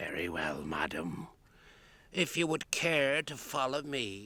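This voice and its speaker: A man puts on a character voice, his pitch medium for a man. He speaks fairly slowly, with very wide pitch swings. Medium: audio drama. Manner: put-upon, grumbling.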